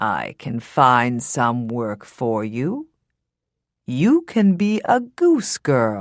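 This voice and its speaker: Very slow and pitched low-to-middle, a put-on character voice comes through on a very clean recording with a silent background. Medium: read story.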